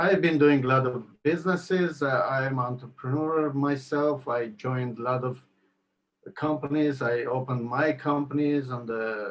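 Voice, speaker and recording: Speaking at a moderate pace, a man with an Armenian accent keeps a fairly high pitch and fairly even intonation. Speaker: network marketing entrepreneur. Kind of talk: interview. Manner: halting.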